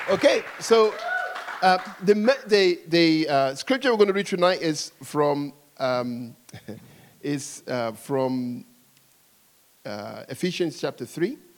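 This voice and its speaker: A man with an English accent speaks at a very slow pace, leaving long, frequent pauses. His fairly high pitch swings very widely. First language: English (speaking French). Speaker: preacher. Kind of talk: sermon.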